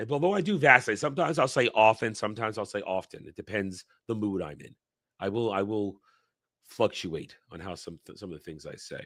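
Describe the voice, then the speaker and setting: A man with a New York accent talks at a fairly quick pace in a fairly low voice, with lively intonation and big swings in loudness. The recording is very clean, with a silent background. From New York tri-state area, US East Coast. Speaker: livestream commentator on pop culture. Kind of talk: casual live chat. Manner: can speak very quickly.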